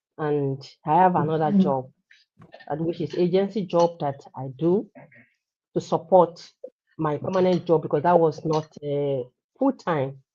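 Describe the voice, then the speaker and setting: Speaking with a Nigerian accent, a woman has a fairly low pitch and a dark, mellow tone, moving at a fairly slow pace with ordinary pitch variation. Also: long, frequent pauses. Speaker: healthcare worker, digital entrepreneur. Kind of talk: personal testimony. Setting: live stream.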